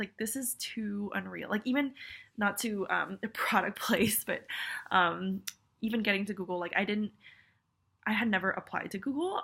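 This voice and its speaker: A woman with an American accent speaks in a bright, sharp tone with fairly even intonation and long, frequent pauses. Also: medium pitch for a woman, moderate pace. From California. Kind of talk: casual talk to camera. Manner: rambling, chatty.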